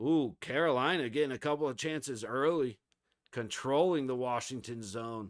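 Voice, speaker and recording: Heard on a very clean recording with a silent background, a man talks at a moderate pace and medium pitch. His tone is animated, with ordinary pitch variation. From Florida. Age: 30s. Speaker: hockey streamer. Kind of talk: live watch-along commentary. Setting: live stream. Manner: casual, animated.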